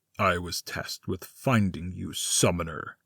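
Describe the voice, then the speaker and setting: In a put-on character voice, a man growls at a moderate pace with a very deep, low pitch, recorded very cleanly against a silent background. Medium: audio drama. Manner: menacing, gloating.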